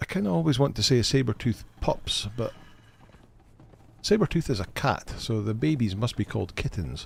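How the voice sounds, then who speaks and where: Relaxed in tone and somewhat breathy, a man talks at a moderate pace with lively intonation. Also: medium pitch for a man. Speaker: gaming live streamer. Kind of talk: live gameplay stream chat. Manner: casual, relaxed.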